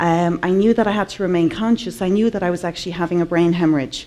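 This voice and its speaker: Over noticeable background noise, a woman with a fairly low pitch talks at a fairly quick pace. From Ireland. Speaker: artist and conference speaker. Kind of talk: conference talk.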